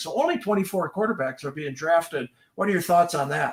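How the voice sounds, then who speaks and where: Speaking at a fairly quick pace with a Wisconsin accent, this man has a high pitch and lively intonation. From Wisconsin, Green Bay area. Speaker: fantasy sports livestream host. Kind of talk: casual livestream chat. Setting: livestream.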